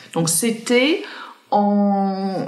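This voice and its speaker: Lively intonation from a woman at a medium pitch, set against noticeable background noise. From Ireland, countryside near Cork. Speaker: entrepreneur, founder of sport and wellness retreats. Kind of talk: interview conversation. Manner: hesitant, many repetitions and fillers.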